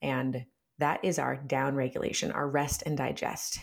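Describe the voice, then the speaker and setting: A woman with a very deep, low pitch and vocal fry speaks at a moderate pace. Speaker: somatic therapist. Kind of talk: casual chat. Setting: video call. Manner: gentle, guiding.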